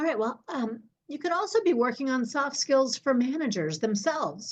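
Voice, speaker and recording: At a moderate pace, a woman with an unremarkable speaking voice and lively intonation talks over a quiet background. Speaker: leadership development consultant. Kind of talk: webinar presentation. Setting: online webinar.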